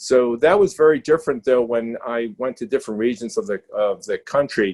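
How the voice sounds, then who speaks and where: A man with a strong New York accent, medium pitch, fairly quick pace and lively intonation, in a dry, close sound with no echo. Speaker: critical care clinician, panelist. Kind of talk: panel discussion webinar. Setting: video webinar. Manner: halting, with many fillers and restarts.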